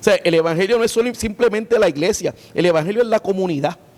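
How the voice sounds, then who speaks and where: This is a man's voice. His intonation is lively. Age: 60s. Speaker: pastor. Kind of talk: interview. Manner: halting, many filler sounds.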